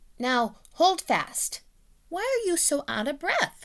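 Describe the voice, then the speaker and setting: Doing a put-on character voice, a woman sounds squeaky and extremely high-pitched, with very wide pitch swings at a fairly slow pace. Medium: read story.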